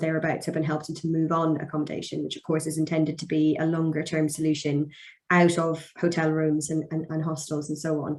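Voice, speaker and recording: A woman's very deep, low voice with an English accent, at a fairly quick pace. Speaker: barrister. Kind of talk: webinar presentation.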